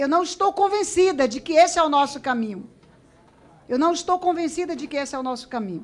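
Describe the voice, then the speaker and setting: Talking at a fairly quick pace, a woman with a high voice uses lively intonation. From Acre, Brazil. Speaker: politician. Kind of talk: parliamentary committee speech. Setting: committee chamber. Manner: formal. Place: hall. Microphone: podium.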